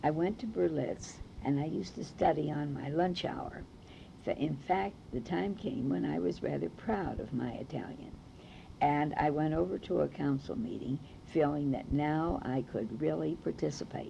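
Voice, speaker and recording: Speaking at a moderate pace, a woman has a Brooklyn accent. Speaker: oral history narrator. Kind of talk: oral history recollection.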